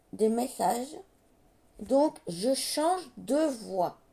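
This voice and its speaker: A woman speaks very slowly in a high voice with very wide pitch swings. Noticeable background noise can be heard. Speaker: card reader, medium. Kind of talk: tarot reading monologue.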